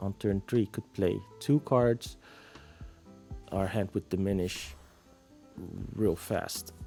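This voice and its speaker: Over music in the background, a man with a fairly low pitch speaks at a very slow pace with long, frequent pauses. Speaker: card game content creator. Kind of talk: casual gameplay commentary.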